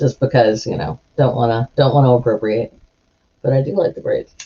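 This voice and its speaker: A woman's very deep, low-pitched voice at a moderate pace, broken by long, frequent pauses. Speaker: streamer. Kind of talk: casual chat. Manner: halting.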